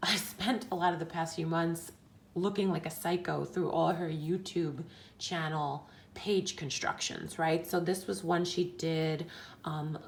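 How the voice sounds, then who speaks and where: This woman speaks at a fairly slow pace with a fairly low pitch and fairly even intonation. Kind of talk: casual craft tutorial talk to camera. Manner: whispered.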